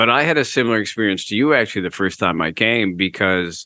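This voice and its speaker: An unremarkable speaking voice, a man's, runs at a fairly quick pace, fairly low in pitch with ordinary pitch variation. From United States (born in Canada). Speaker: author, former radio DJ and stand-up comedian. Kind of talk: interview conversation.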